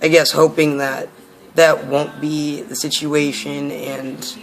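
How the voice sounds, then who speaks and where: Over noticeable background noise, a man speaks very slowly in a flat monotone at a fairly high pitch. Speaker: vlogger documenting gender transition. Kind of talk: personal vlog. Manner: halting, many fillers.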